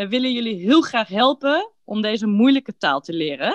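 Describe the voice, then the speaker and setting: In a plain, everyday voice, the speaker talks at a moderate pace with lively intonation. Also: woman. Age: 30s. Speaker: podcast host for Dutch learners. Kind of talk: scripted casual chat for language learners. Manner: clear, relaxed pace for learners.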